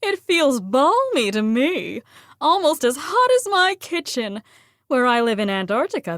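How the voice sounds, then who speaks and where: A woman's high-pitched, put-on character voice, amused in tone, with very wide pitch swings. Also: moderate pace. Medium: read story.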